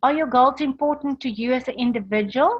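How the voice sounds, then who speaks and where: A woman speaks at a moderate pace with ordinary pitch variation. It is an ordinary speaking voice. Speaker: motivational speaker. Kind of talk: online training presentation.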